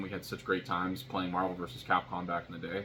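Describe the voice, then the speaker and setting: Someone talks at a very fast pace amid noticeable background noise. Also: man. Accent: American. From US, military family moving between states. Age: 30s. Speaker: vlogger. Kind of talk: casual monologue vlog. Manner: halting, many fillers and restarts.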